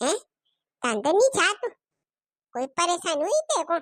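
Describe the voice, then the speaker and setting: An extremely high, squeaky cartoonish character voice swings very widely in pitch at a moderate pace. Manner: familiar, caring.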